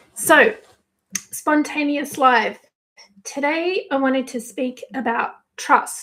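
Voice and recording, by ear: Putting on a character voice, a woman speaks very slowly in a husky, raspy, high-pitched tone with lively intonation and long, frequent pauses.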